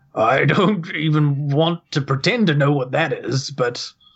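A man puts on a character voice pitched fairly high, talking at a moderate pace. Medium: actual play. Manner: formal, solemn.

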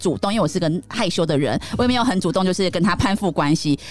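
Very wide pitch swings from a woman at a very fast pace, over noticeable background noise. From Taiwan, Taichung. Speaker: podcast host and image consultant. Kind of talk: casual chat.

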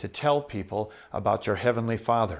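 On a very clean recording with a silent background, a man with an American accent talks at a fairly quick pace and medium pitch, his tone enthusiastic and his pitch variation ordinary. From Minnesota, US Midwest. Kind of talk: solo podcast talk, storytelling and Bible teaching. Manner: conversational, enthusiastic.

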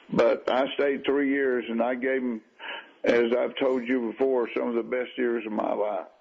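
The speaker goes at a moderate pace against noticeable background noise. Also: man, medium pitch for a man, fairly even intonation. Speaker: retired baseball manager. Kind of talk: radio interview. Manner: halting.

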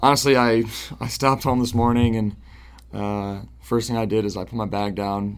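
In an unremarkable speaking voice, a man with an American accent talks at a moderate pace, his fairly low pitch carried by fairly even intonation. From Central New York, Syracuse area. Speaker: professional soccer goalkeeper. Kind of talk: interview.

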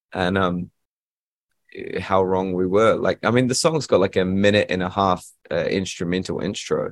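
A man speaks at a fairly quick pace with a New Zealand accent. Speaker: musician, band frontman. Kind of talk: casual interview chat. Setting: Zoom video call.

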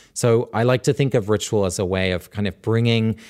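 At a fairly quick pace, a man with a fairly low pitch, warm tone and ordinary pitch variation speaks in a very clean recording with a silent background. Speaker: author and rituals scholar. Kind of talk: interview. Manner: warm, thoughtful, humorous.

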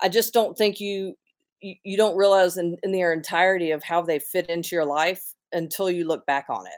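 At a moderate pace, a woman speaks in a plain, everyday voice, fairly low in pitch with fairly even intonation, in a very clean recording with a silent background. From North Carolina (Gastonia/Belmont, Charlotte). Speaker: business owner and church missions director. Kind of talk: casual interview.

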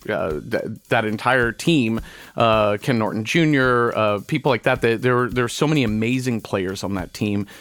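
A man with an American accent has an ordinary speaking voice at medium pitch with ordinary pitch variation. He speaks at a fairly slow pace in a very clean recording with a silent background. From Texas, suburbs of Dallas. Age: 40s. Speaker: podcaster. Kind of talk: casual chat.

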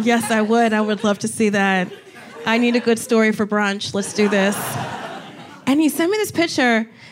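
A woman speaks with very even loudness and long, frequent pauses. Noticeable background noise runs underneath. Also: ordinary pitch variation, moderate pace. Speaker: comedian talk show host. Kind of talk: live comedy talk show, banter and interview. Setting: stage with audience. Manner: animated, joking.

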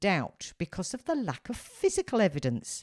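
The recording is very clean with a silent background and a dry, close sound with no echo, as a woman speaks at a moderate pace in a dark, mellow tone. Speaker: true crime podcast host. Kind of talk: scripted narration of a crime case with casual chat.

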